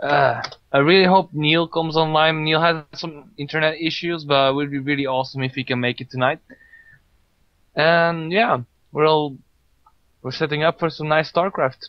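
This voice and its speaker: Pausing long and often, a man with a non-native accent speaks at a fairly high pitch with fairly even intonation. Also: moderate pace. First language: not English. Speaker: esports tournament co-caster and streamer. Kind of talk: live stream commentary. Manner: casual, relaxed.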